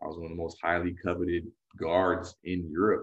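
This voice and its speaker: A man speaks in a very deep, low, somewhat breathy voice. His intonation stays monotone and flat. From California. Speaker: former pro basketball player and coach. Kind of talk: casual interview.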